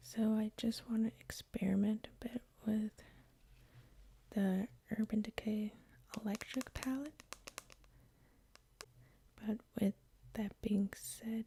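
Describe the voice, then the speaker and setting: Soft-spoken and somewhat breathy, a woman speaks at a very slow pace in a fairly high, monotone, flat voice, leaving long, frequent pauses. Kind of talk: ASMR makeup tutorial, soft talking. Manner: soft-spoken, slow, relaxing.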